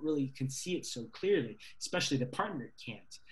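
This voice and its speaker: Somewhat breathy, a man with an American accent speaks at a fairly quick pace and a fairly high pitch. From US South, Virginia. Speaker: writer or filmmaker discussing own story. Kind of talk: interview about own creative work. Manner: halting, many fillers.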